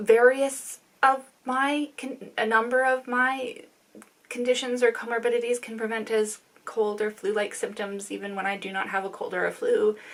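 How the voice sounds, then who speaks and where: With a Canadian accent, a woman with a fairly high pitch talks at a moderate pace in fairly even intonation, her loudness swinging widely over noticeable background noise. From Canada. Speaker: knitting vlogger. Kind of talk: casual chat. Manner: halting.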